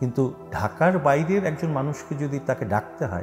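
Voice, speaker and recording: Music plays in the background as a man talks in a fairly high pitch with very wide pitch swings. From Chittagong, Bangladesh. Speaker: reciter. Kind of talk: interview answer.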